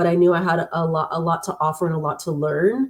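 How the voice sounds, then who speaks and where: Somewhat breathy, a woman speaks at a fairly low pitch with monotone, flat intonation. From Los Angeles, Southern California. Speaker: tech worker, guest speaker. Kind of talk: interview, personal story. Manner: fast.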